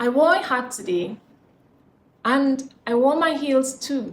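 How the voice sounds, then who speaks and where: A woman speaks at a very slow pace in a high pitch. Her pitch variation is ordinary, and there is noticeable background noise. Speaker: spoken word poet. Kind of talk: poetry reading. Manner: slow, expressive.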